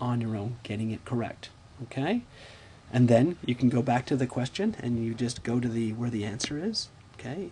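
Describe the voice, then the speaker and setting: This man's voice is somewhat breathy, with a dark, mellow tone and medium pitch. He moves at a moderate pace with ordinary pitch variation. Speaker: math teacher. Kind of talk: tutorial. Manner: casual, repetitive fillers.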